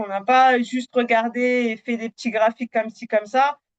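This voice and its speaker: A woman talks with a high pitch. Her pace is fairly slow. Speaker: Power BI trainer. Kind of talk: live webinar demo. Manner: hesitant, many fillers.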